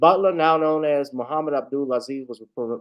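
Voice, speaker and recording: At a moderate pace, a man talks in a normal speaking voice with ordinary pitch variation. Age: 30s. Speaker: online talk show host. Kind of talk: news commentary; reading aloud.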